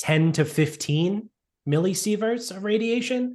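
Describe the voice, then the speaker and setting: A somewhat breathy man at a fairly slow pace, his pitch swinging very widely, over a quiet background. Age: 30s. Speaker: podcast co-host. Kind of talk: casual chat.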